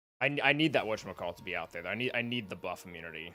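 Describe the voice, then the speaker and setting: Music plays in the background. A man talks over it at a fairly quick pace. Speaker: gaming livestreamer. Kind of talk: live gameplay commentary. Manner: loud; casual, animated.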